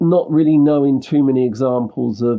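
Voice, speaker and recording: A man with a London accent talks at a fairly slow pace, his intonation fairly even. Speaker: indie musician. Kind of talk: interview conversation.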